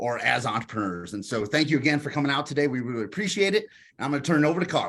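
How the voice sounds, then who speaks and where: Talking at a very fast pace, a man with a Kentucky accent has a fairly high pitch. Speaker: entrepreneurship professor. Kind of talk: online workshop presentation.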